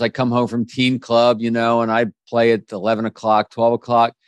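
Medium in pitch, a man speaks at a moderate pace. The sound is dry and close with no echo, and the background is quiet. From US, Washington DC area. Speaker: author and business speaker. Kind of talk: interview.

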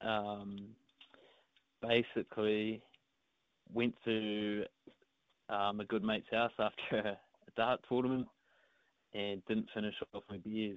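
Speaking very slowly with long, frequent pauses, a man with a New Zealand accent keeps a flat, monotone delivery at a fairly low pitch. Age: 20s. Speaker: darts player. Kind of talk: interview. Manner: halting.

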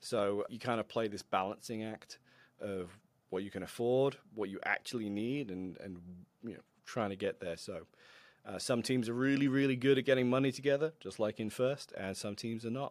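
A man speaks at a moderate pace in a normal speaking voice, medium in pitch with ordinary pitch variation and big swings in loudness. The recording is very clean, with a silent background. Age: 30s. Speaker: robot combat competitor and youth robotics mentor. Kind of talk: casual interview.

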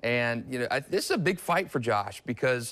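A man at medium pitch talks in an ordinary speaking voice with ordinary pitch variation. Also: very clean recording, silent background. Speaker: sports editor. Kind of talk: sports interview and analysis.

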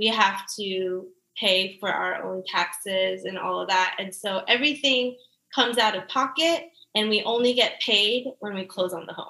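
Using a normal speaking voice, a woman with an American accent talks at a moderate pace at medium pitch, with ordinary pitch variation and big swings in loudness. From US South, Georgia. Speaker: real estate agent. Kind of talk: casual interview.

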